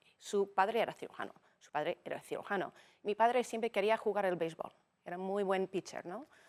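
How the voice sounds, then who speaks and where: The voice moves at a fairly quick pace with big swings in loudness and ordinary pitch variation, in a dry, close sound with no echo. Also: woman, medium pitch for a woman. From United States. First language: English (speaking Spanish). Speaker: business executive. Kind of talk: interview conversation.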